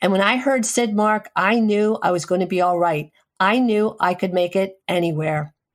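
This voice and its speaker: A woman speaks at a moderate pace with medium pitch and lively intonation. She has a plain, everyday voice. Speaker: radio show host, physician. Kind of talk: radio tribute segment.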